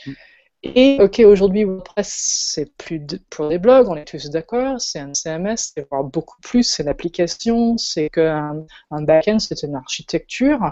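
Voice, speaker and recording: A woman's very slow speech, fairly low in pitch, with very wide pitch swings and big swings in loudness. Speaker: web designer and event organizer. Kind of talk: casual chat.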